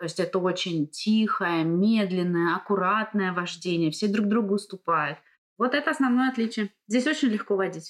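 A woman talks with an unremarkable speaking voice at a medium pitch. Her pace is moderate and her intonation lively. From Russia. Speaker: driving instructor. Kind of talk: casual interview.

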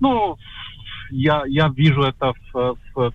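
A man with a Polish accent speaks at medium pitch. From Poland. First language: Polish (speaking Russian). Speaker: journalist. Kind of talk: interview. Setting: video call.

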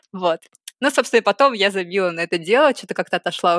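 On a very clean recording with a silent background, a woman's voice is captured. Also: dry, close sound with no echo. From Saint Petersburg, Russia. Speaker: cosplayer and artist. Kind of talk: casual chat.

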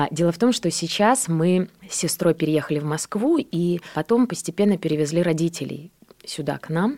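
This woman has an unremarkable speaking voice at a fairly low pitch, with ordinary pitch variation. She talks at a moderate pace. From Belarus, Borisov. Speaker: actress. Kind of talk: radio interview. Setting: radio studio.

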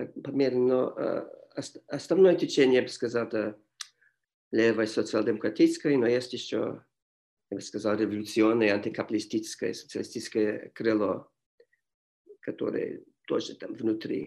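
Pausing long and often, a man speaks at a moderate pace with an English accent. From Montreal, Canada. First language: English (speaking Russian). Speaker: history professor. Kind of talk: interview. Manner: halting.

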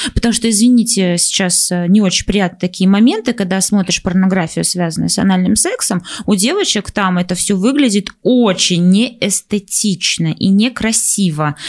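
Here is a woman at medium pitch with ordinary pitch variation. She has a plain, everyday voice and keeps a moderate pace. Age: 20s. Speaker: podcast co-host. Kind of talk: casual chat.

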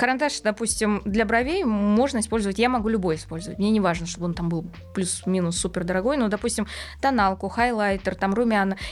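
Speaking at a fairly quick pace, a woman has a plain, everyday voice with ordinary pitch variation. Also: medium pitch for a woman. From Uzbekistan (ethnic Korean). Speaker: beauty blogger. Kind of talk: casual interview chat.

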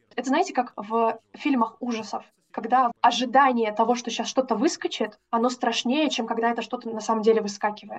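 With an unremarkable speaking voice, a woman talks at a fairly quick pace and fairly high pitch, her pitch varying in an ordinary way. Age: 20s. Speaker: teaching graduate. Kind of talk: interview testimony.

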